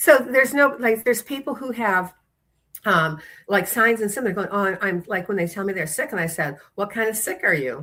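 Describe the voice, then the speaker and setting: With a bright, sharp tone and medium pitch, a woman speaks in an animated way at a moderate pace with lively intonation. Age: 70s. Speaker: chiropractor and executive mentor. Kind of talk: podcast interview.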